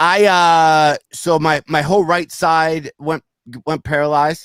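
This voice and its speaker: A man's mumbling, very slow, monotone speech at a fairly high pitch, with a dry, close sound with no echo. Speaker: comedian and podcast host. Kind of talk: casual chat. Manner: slurring, mumbling; halting, repetitive.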